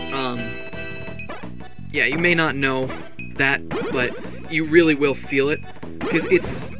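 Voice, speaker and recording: With clear music in the background, the dry, echo-free recording has long, frequent pauses. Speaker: gaming let's play commentator. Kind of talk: casual gameplay commentary. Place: home room.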